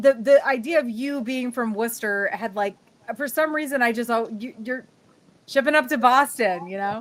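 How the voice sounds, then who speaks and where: Speaking with an American accent, a woman with a high pitch shows ordinary pitch variation and big swings in loudness. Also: moderate pace. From New England (north central Connecticut). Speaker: webcast host. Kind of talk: casual interview chat. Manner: animated.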